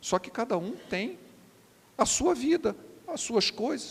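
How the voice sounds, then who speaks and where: A man is speaking. His pitch swings very widely. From Rio de Janeiro, Brazil. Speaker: preacher. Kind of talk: sermon.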